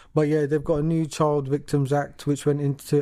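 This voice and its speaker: This man has a fairly high voice with a dark, mellow tone. He speaks at a moderate pace. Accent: British. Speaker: podcast co-host. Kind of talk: casual chat, reading news aloud.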